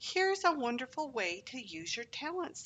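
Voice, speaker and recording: The speaker uses a put-on character voice with very wide pitch swings at a moderate pace. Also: female-sounding voice, high pitch for a woman. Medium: read story.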